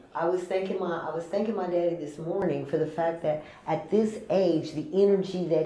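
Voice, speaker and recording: Against noticeable background noise and audible room echo, a woman with a fairly low pitch talks at a moderate pace in an animated tone. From California. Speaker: chef and caterer. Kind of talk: casual interview chat.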